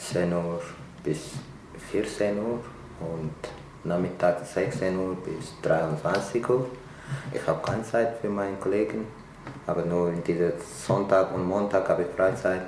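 With audible room echo and noticeable background noise, a man talks at a very slow pace with a very deep, low pitch, ordinary pitch variation, and long, frequent pauses. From Eritrea. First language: Tigrinya (speaking German). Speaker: refugee, restaurant worker. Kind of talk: interview.

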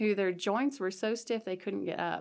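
The recording is very clean, with a silent background. A woman speaks at a medium pitch with an American accent. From southeast Nebraska, US. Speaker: college professor. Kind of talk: casual interview.

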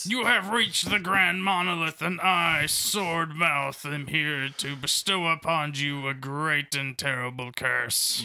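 A man performs a put-on character voice at a fairly high pitch and a fairly slow pace. He leaves hardly any pauses over light background noise. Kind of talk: mock-solemn fantasy pronouncement. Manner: grandiose, then flustered and apologetic.

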